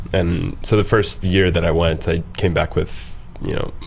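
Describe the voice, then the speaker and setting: Audible room echo and noticeable background noise around a man speaking with ordinary pitch variation. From Egyptian background. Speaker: traveller, podcast guest. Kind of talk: casual interview chat. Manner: animated storytelling.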